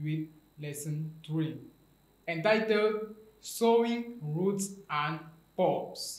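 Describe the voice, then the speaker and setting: Audible room echo around a man's voice. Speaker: teacher. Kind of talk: lecture. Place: studio.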